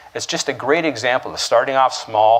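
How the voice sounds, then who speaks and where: A man speaks in a plain, everyday voice with a Canadian accent. His pitch is medium, with ordinary variation. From Canada, Toronto. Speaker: keynote speaker. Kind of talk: keynote speech.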